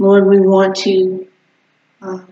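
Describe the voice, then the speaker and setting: With audible room echo, a woman speaks at a very slow pace. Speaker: pastor leading prayer. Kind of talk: prayer. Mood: earnest, calm. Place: church.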